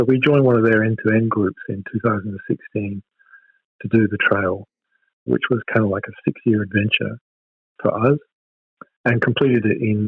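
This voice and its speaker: With an Australian accent, a man talks at a moderate pace and medium pitch, his intonation fairly even. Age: 60s. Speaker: hiking club president. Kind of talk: interview.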